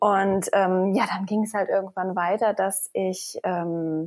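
The woman's voice is at a medium pitch. She talks at a fairly slow pace. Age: 30s. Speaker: fitness coach. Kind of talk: interview.

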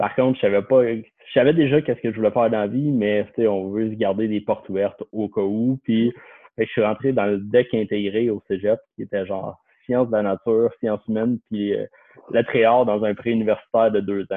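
With an unremarkable speaking voice, a man talks at a medium pitch and a fairly quick pace, his intonation fairly even. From Quebec, Lorraine north of Montreal. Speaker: financial planner. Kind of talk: casual chat.

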